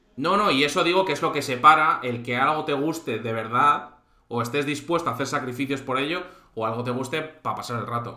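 A man with a fairly high voice talks at a fairly quick pace. His pitch varies in an ordinary way, and the room echo is audible. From Spain, Santander (Cantabria). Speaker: live stream host. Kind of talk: casual chat. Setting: live stream.

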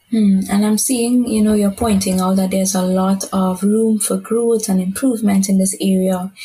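A woman speaks in a somewhat breathy, flat monotone at a medium pitch and moderate pace, with very even loudness and hardly any pauses. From Caribbean. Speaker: podcast moderator, advocacy officer. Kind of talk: interview.

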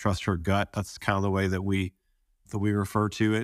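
A man with an American accent on a very clean recording with a silent background. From US South. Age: 40s. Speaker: retreat participant. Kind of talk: interview testimony. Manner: halting.

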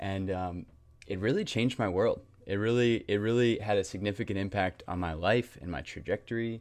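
With an American accent, a man speaks in an ordinary speaking voice, fairly low in pitch, with ordinary pitch variation at a fairly quick pace. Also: quiet background. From North Carolina (Raleigh area). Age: 20s. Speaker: nonprofit director, mentoring. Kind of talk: interview conversation.

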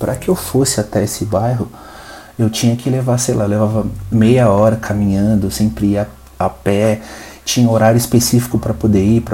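Noticeable background noise runs under a man's fairly low voice. His tone is relaxed, his pace fairly quick, and his pitch variation ordinary. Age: 20s. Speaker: podcast host. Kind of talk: casual monologue. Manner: relaxed, unscripted.

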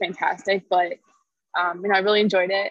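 A woman with a plain, everyday voice talks at a fairly quick pace and medium pitch, using fairly even intonation in a dry, close sound with no echo. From Connecticut, US. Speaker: bodybuilder and nutrition coach. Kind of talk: casual interview chat.

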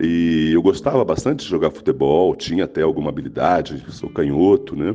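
With music behind him, a man talks at a moderate speed. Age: 50s. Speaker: children's author. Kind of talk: interview. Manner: halting.

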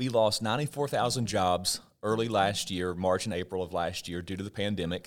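An ordinary speaking voice from a man with an American accent, fairly low in pitch with ordinary pitch variation, at a fairly quick pace with hardly any pauses, on a very clean recording with a silent background. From southwestern Virginia coal country. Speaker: economist. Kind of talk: interview.

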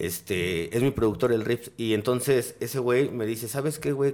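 A man talks with an ordinary speaking voice at a medium pitch. His pace is moderate, with ordinary pitch variation. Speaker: cannabis podcaster. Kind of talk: casual chat.

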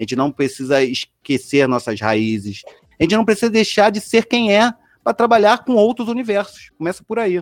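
Music plays in the background as a man speaks at a moderate pace with a high pitch and very wide pitch swings. The sound is dry and close, with no echo. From Rio de Janeiro suburbs, Brazil. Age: 40s. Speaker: designer and innovation leader. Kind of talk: casual chat. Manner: animated.

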